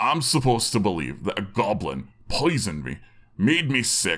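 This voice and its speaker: A gruff, put-on character voice moves at a moderate pace with very wide pitch swings. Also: man, fairly low pitch for a man. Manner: angry, gruff, suspicious.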